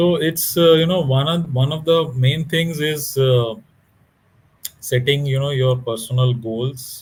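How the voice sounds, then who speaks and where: A man with a Bengali accent talks at a fairly slow pace with ordinary pitch variation and audible room echo. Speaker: author. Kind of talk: interview. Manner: halting.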